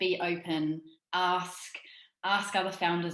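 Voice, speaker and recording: A woman's fairly low voice with a New Zealand accent and audible room echo. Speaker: startup founder. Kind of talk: interview. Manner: conversational, with frequent fillers.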